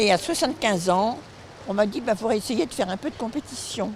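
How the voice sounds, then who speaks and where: A woman's pitch swings very widely as she speaks against noticeable background noise. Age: 90s. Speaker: masters swimmer. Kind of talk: interview.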